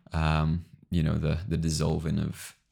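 A man speaks with an English accent in a very deep, low voice. His intonation is fairly even. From England. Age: 20s. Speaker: podcast co-host. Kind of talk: casual chat.

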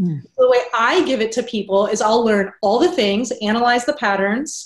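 A woman speaks in an unremarkable speaking voice, pitched fairly high. Her intonation is lively and her pace moderate. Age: 30s. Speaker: business coach. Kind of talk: interview.

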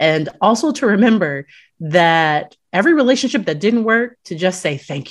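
Over a quiet background, a woman speaks at a moderate pace. Her medium pitch makes very wide swings. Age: 30s. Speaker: clinical psychologist. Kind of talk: casual chat.

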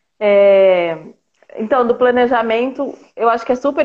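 A woman with a plain, everyday voice at a moderate pace, showing ordinary pitch variation. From interior of São Paulo state, Brazil. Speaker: mother sharing birth story, health worker. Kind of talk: testimony. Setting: online live stream.

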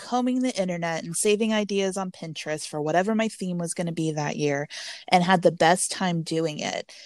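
With an American accent, a woman speaks in a normal speaking voice at a medium pitch, moderate pace and ordinary pitch variation. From Texas. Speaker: Halloween blogger. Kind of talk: casual interview chat.

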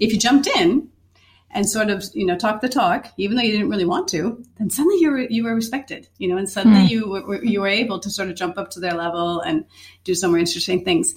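Somewhat breathy and medium in pitch, a woman with an Upper Midwest accent talks very fast with lively intonation. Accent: Upper Midwest American. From Minnesota, US Midwest. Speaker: chef and culinary teacher. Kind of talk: casual conversation.

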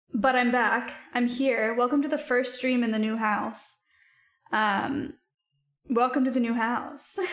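A woman speaks at a fairly slow pace in a high pitch, with fairly even intonation and very even loudness. Audible room echo surrounds her voice. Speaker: livestreamer. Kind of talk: casual chat.

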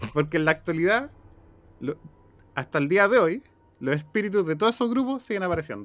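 At a fairly quick pace, a man with a Chilean accent speaks at a high pitch with very wide pitch swings and long, frequent pauses. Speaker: podcast host. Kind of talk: casual chat.

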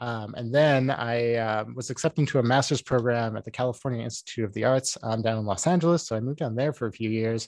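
A man with a Canadian Prairie accent talks at a fairly quick pace and medium pitch, with ordinary pitch variation. The recording is very clean, with a silent background. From small-town Saskatchewan, Canada. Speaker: video game sound designer. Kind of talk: casual interview. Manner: many fillers (um, like).

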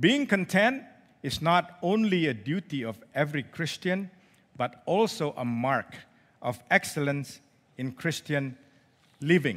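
Against a silent background in a very clean recording, a man speaks slowly at a fairly high pitch, with lively intonation and long, frequent pauses. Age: 50s. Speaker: lay preacher. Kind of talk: sermon. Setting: church service.

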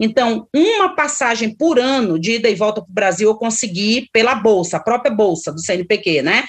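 With a plain, everyday voice, a woman talks at a moderate pace in a fairly high pitch, her intonation lively and hardly any pauses breaking it up. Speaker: psychologist and professor. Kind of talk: interview.

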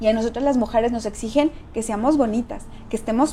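A woman with a fairly high pitch speaks at a fairly quick pace amid noticeable background noise. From Mexico, San Luis Potosí. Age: 40s. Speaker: political candidate. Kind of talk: interview.

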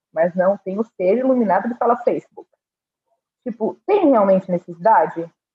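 Somewhat breathy and at medium pitch, a woman speaks at a moderate pace with ordinary pitch variation. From Brazil. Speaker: agency community manager. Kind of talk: casual panel discussion.

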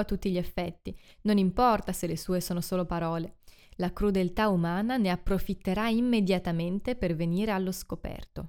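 A woman speaks in a plain, everyday voice at a medium pitch, with ordinary pitch variation and a fairly quick pace. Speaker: podcast host and book reviewer. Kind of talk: literary audiobook reading, solemn and expressive, with a rhetorical question; scripted literary review monologue. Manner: formal, measured, reflective.

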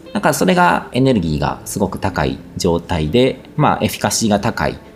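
Over noticeable background noise, a man speaks at a moderate pace with very wide pitch swings. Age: 40s. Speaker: spiritual podcast host and blogger. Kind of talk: casual monologue answering listener questions. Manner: hesitant, many fillers.

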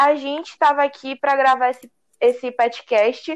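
A woman speaks with a high pitch. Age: young. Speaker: university student. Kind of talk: casual chat.

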